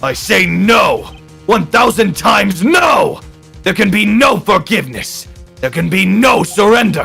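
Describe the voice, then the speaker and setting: A resonant put-on character voice speaks at a moderate pace over faint music in the background. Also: man, high pitch for a man. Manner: dramatic, thundering.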